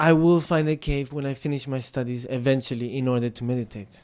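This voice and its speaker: In a Tibetan accent, a man speaks at a fairly quick pace with ordinary pitch variation on a very clean recording with a silent background. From India, Tibetan monastery. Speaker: Buddhist speaker. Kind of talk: dharma talk. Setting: meditation center with audience. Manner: halting.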